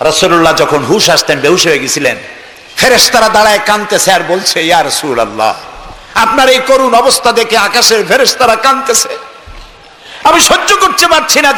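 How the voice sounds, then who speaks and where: A raised, projected voice moves through very wide pitch swings at very even loudness. Noticeable background noise runs underneath. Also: man, high pitch for a man. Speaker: Islamic preacher. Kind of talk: Islamic sermon (waz).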